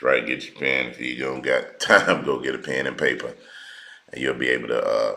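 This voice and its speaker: Over noticeable background noise, a man speaks with big swings in loudness. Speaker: religious teacher. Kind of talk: online teaching livestream. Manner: slow.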